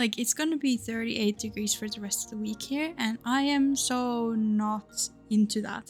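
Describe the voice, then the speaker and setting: With music playing in the background, a woman with a Finnish accent speaks at a moderate pace and a fairly high pitch, with fairly even intonation and hardly any pauses. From Finland. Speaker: gaming YouTuber. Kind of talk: casual vlog chat.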